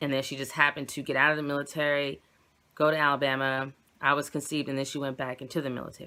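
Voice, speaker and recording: Very clean recording, silent background, with a woman speaking at a very deep, low pitch in a bright, sharp tone. She goes at a very fast pace. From Virginia, US. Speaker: YouTuber. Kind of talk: personal vlog. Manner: halting.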